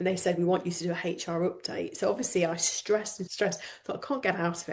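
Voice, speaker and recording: The woman speaks at a medium pitch with a somewhat breathy quality. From northern England, Lancashire coast. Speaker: coach. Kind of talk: podcast interview.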